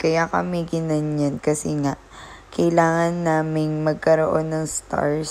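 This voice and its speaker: This woman talks at a fairly slow pace. Her pitch is very deep and low. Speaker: vlogger. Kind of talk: vlog narration. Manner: casual, chatty.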